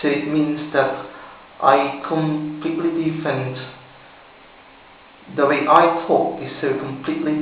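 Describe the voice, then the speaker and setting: A man speaks fairly slowly at a fairly high pitch. Audible room echo and noticeable background noise fill the recording. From Philippines. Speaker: amateur accent demonstrator. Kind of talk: tutorial. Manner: halting.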